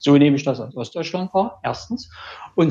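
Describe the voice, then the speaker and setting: The speech is somewhat breathy, with lively intonation. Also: man. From Dresden, Saxony. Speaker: engineer, listener. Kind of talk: casual discussion.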